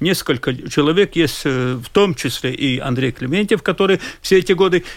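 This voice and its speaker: A very clean recording, silent background, and lively intonation. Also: man. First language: Latvian (speaking Russian). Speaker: social policy expert. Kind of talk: radio discussion. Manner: halting.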